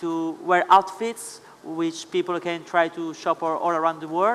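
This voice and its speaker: Speaking at a moderate pace with an Italian accent, the man has a high pitch. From Italy. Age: 20s. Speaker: Instagram influencer. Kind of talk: panel talk. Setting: stage with audience.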